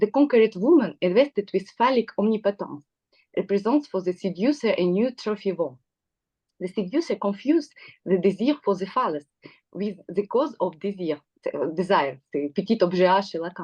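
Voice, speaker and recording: A woman with a dark, mellow tone and lively intonation speaks at a moderate pace in a dry, close sound with no echo. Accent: non-native. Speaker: psychoanalyst. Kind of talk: prepared talk from notes. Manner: halting.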